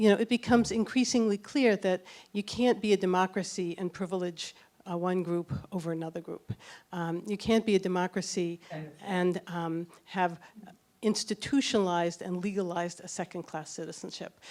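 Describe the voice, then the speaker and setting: With an American accent, a woman talks at a moderate pace and medium pitch with ordinary pitch variation. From US Northeast, Boston. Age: 60s. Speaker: doctor and documentary filmmaker. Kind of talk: audience Q&A answers; narration. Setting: public event with audience. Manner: hesitant, many fillers.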